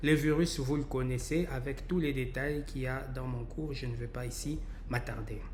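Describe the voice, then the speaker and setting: Noticeable background noise and audible room echo fill the recording. The man keeps a moderate pace. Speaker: professor, virologist. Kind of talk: lecture. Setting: recorded webinar presentation. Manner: halting, many fillers.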